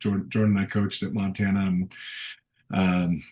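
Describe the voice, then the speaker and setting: A man's fairly low, somewhat breathy voice at a fairly quick pace. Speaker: college football color commentator and former coach. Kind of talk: casual interview. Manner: halting, many repeated words.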